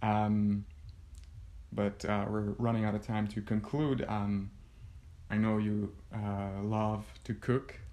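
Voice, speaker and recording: With a dark, mellow tone and fairly low pitch, a man speaks at a very slow pace in monotone, flat intonation, leaving long, frequent pauses. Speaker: podcast host and blogger. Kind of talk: casual interview. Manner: halting, hesitant.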